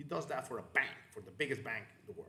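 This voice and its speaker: Audible room echo surrounds a bright, sharp voice with a Spanish accent. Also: man. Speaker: crypto channel host. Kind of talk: live stream chat. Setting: live online stream. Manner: hesitant, many fillers and repetitions.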